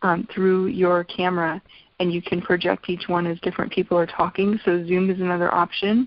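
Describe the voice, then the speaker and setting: A woman with an ordinary speaking voice talks fairly quickly at medium pitch, her intonation fairly even. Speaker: essential oils business trainer. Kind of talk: online business training talk.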